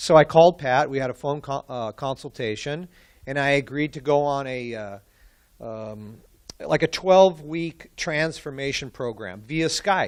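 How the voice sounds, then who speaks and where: At a fairly slow pace, a man with a fairly high voice and ordinary pitch variation speaks with big swings in loudness against a quiet background. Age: 60s. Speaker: client of a personal trainer, conference speaker. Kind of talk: testimony. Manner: casual, halting with fillers.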